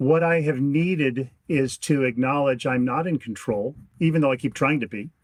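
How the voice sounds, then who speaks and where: Ordinary pitch variation marks the man's speech, which moves at a moderate pace. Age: 60s. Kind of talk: interview.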